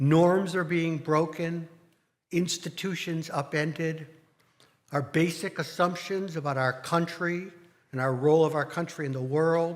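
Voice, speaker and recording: Audible room echo surrounds a man speaking at a fairly slow pace. His voice is fairly high, his intonation fairly even. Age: 60s. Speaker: congregation board president. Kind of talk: speech to congregation. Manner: formal.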